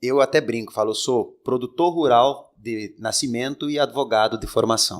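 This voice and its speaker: Speaking in a medium register, a man varies his pitch in an ordinary way. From Rio Grande do Sul, Brazil. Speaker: political candidate and lawyer. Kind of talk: interview. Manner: halting.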